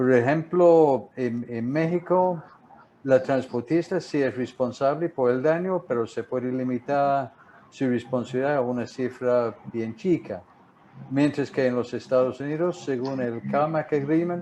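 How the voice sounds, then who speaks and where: A man speaks with a strong non-native accent at a fairly slow pace. His tone is dark and mellow, his pitch medium, with ordinary pitch variation. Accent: strong English-speaker accent in Spanish. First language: English (speaking Spanish). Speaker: marine insurance broker. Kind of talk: webinar presentation. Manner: halting, repeats words.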